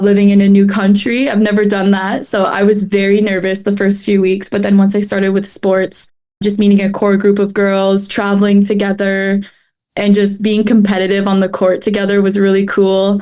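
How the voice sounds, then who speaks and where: With an American accent, the speaker talks at a moderate pace in a dark, mellow tone, using monotone, flat intonation and very even loudness. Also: woman, medium pitch for a woman. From Canada. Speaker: student athlete, podcast guest. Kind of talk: casual interview.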